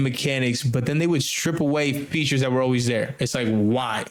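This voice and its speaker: A man's fairly high-pitched, an unremarkable speaking voice with fairly even intonation. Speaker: gaming podcast host. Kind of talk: casual chat. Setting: remote recording.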